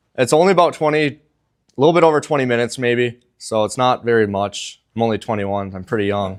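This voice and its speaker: Lively intonation marks this very fast speech delivered with an Upper Midwest accent. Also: man, medium pitch for a man. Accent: Upper Midwest American. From Minnesota, Bemidji. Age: 20s. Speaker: college student athlete. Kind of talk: testimony.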